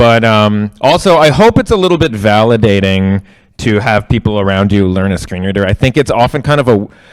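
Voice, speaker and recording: On a very clean recording with a silent background, a man with an American accent speaks at a fairly low pitch with lively intonation. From New York, Queens. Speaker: tech accessibility instructor. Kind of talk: interactive workshop. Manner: fast; many fillers (um, uh).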